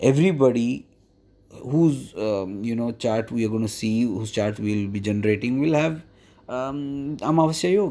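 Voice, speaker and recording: Heard in a very clean recording with a silent background, a man with a medium pitch and a dark, mellow tone speaks with lively intonation. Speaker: astrologer and palmist. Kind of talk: tutorial. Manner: slow; hesitant, many fillers.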